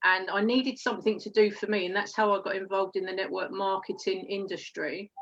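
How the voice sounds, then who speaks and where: A woman talks at a fairly quick pace in a monotone, flat delivery. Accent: Essex. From England, Essex. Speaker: network marketer. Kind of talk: interview. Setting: live stream.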